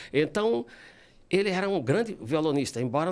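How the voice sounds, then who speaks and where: Over a silent background in a very clean recording, a man talks at a fairly quick pace with very wide pitch swings. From São Paulo, Brazil (born in Ceará, moved at 7). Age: 60s. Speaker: classical guitarist and composer. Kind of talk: interview. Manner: halting.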